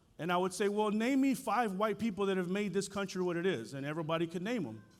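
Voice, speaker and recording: An animated man with a Spanish accent, fairly quick pace and ordinary pitch variation, on a very clean recording with a silent background. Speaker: school board chair. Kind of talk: keynote speech. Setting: stage with audience.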